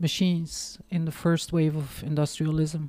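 A woman with a Flemish accent, fairly low pitch and a dark, mellow tone, at a fairly slow pace on a very clean recording with a silent background. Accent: Flemish Dutch accent in English. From Belgium, East Flanders. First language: Dutch. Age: 50s. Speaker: marketing professional and author. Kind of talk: casual interview chat.

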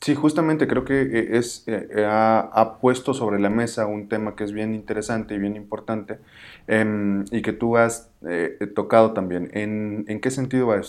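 A man at a fairly slow pace, fairly low in pitch with ordinary variation, against a quiet background. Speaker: podcast host. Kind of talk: casual discussion. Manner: halting, with many fillers.

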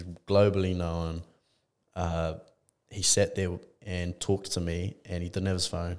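This man has a very deep, low voice and speaks at a fairly slow pace with long, frequent pauses. His intonation is monotone and flat, in a very clean recording with a silent background. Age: young. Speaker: podcast host. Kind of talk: casual interview chat.

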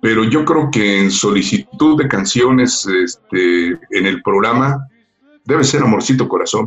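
Over background music, a man with a medium pitch talks at a fairly slow pace, his pitch swinging very widely while his loudness stays very even. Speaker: radio announcer. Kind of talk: casual interview. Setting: remote call.

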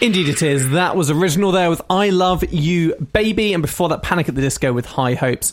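Fairly quick speech in an animated tone comes through noticeable background noise. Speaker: radio host. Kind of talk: radio dj patter. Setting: studio. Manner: chatty, bantering, animated.

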